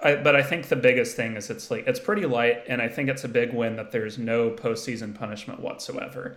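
This man has a plain, everyday voice, medium in pitch, with fairly even intonation. He talks at a fairly quick pace with hardly any pauses. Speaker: college basketball analyst. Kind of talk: casual sports chat.

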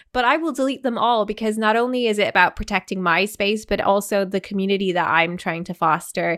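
A woman with an ordinary speaking voice talks at medium pitch with ordinary pitch variation. She leaves hardly any pauses, on a very clean recording with a silent background. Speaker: podcast host. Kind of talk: casual interview chat.

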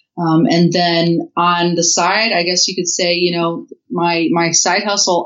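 A woman speaks with a Midwestern US accent. Her pitch is fairly low. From Indiana. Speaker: writer and digital marketer, libertarian chapter leader. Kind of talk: casual interview.

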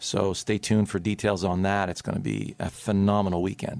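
A man with a normal speaking voice and fairly even intonation. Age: 50s. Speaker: golf teacher. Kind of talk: casual radio chat. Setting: radio studio.

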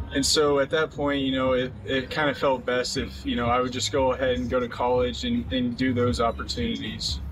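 A man with an American accent at a fairly quick pace, hardly any pauses and very even loudness, with music in the background. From Oklahoma, US. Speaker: professional baseball pitcher. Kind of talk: interview. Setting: at spring training camp.

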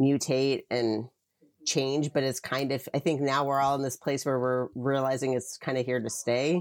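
A woman with an American accent speaks at a moderate pace in a very deep, low pitch. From Philadelphia, US. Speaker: record label publicist. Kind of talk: casual interview chat.

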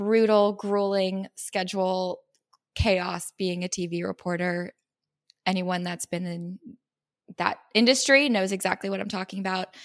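With a Californian accent, a woman speaks at a fairly slow pace, her medium-pitched voice held to fairly even intonation. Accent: Californian American. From San Diego, California. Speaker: lifestyle influencer, former TV reporter. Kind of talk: casual interview.

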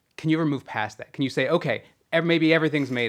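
In an American accent, the voice keeps a fairly even intonation. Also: man. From Southern California. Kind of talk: interview conversation.

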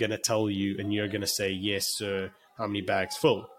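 With a South African accent, a man talks at a moderate pace in a fairly low pitch. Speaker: financial consultant. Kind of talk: podcast interview.

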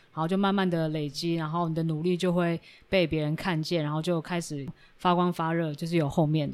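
A woman's fairly low voice in flat, monotone intonation, at a fairly quick pace. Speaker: podcast host. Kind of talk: casual interview.

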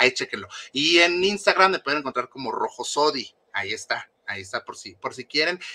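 Bright and sharp, a man's fairly high voice races at a fairly quick pace with vocal fry, very wide pitch swings and big swings in loudness, dry and close with no echo. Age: 30s. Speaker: former member of a celebrity fan support group. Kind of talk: interview.

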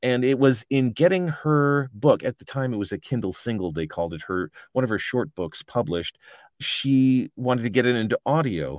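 Medium-pitched male voice with lively intonation at a moderate pace, dry and close with no echo, on a very clean recording with a silent background. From US Midwest, Chicago then California as a kid. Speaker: audiobook narrator and author. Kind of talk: interview, casual chat.

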